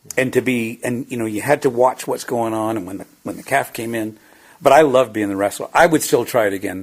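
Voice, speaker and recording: A man at medium pitch, fairly quick, with ordinary pitch variation and big swings in loudness. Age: 60s. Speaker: former ranch hand. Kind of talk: casual interview. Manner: halting, many fillers.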